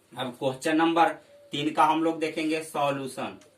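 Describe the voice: Audible room echo surrounds a man whose fairly high voice moves at a moderate pace with fairly even intonation.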